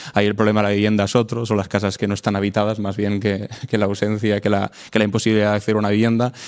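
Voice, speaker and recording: A man speaks very fast with a fairly low pitch. His intonation is flat and monotone. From Spain, Matarraña (Aragon/Catalan border area). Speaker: podcast guest. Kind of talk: casual chat. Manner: halting, many repetitions.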